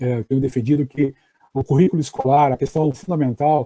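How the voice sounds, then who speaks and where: A man speaks in a fairly high, somewhat breathy voice with a dark, mellow tone. His pitch varies in an ordinary way, and the sound is dry and close with no echo. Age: 60s. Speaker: education professor. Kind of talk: online lecture. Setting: live stream. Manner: hesitant with fillers.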